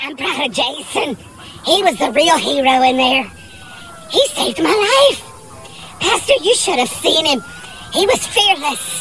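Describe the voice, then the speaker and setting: A man performs in a put-on character voice. Music is clearly heard in the background. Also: moderate pace. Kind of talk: comedic character monologue. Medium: short film. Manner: earnest, naive. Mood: admiring.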